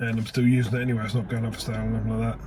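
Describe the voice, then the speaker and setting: A man's speech comes very fast, and the room echo can be heard. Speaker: car mechanic youtuber. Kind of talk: casual workshop vlog.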